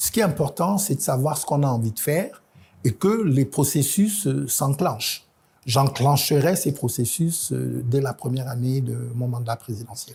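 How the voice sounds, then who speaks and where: The voice has a dark, mellow tone, is somewhat breathy, and moves at a fairly slow pace with lively intonation. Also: man, fairly high pitch for a man. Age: 50s. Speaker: presidential candidate. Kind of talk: TV interview. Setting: TV studio. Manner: hesitant, many fillers.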